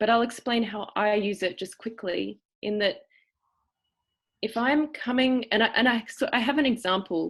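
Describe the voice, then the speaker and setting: With an Australian accent, a woman speaks at a moderate pace and a fairly high pitch, using ordinary pitch variation and long, frequent pauses. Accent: cultivated Australian. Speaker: acting teacher. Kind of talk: lecture. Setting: video call. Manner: halting.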